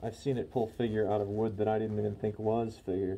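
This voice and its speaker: A man speaks with a dark, mellow tone at a fairly low pitch, his intonation monotone and flat. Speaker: guitar builder, DIY woodworking channel host. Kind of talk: tutorial. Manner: halting with many fillers.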